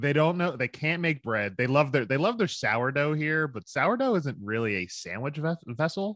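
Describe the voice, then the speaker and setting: A man with a Philadelphia accent talks at a moderate pace with hardly any pauses, his fairly high pitch swinging very widely. The sound is dry and close with no echo, over a quiet background. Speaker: entrepreneur, hot sauce maker. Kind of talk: casual chat.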